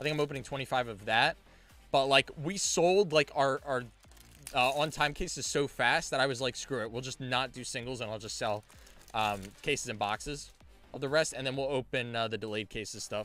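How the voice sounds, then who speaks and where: Over music in the background, a man with medium pitch speaks in an energetic tone at a fairly quick pace, with ordinary pitch variation. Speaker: card game streamer and store owner. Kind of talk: live stream case opening chat. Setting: live stream. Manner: loud; casual, energetic.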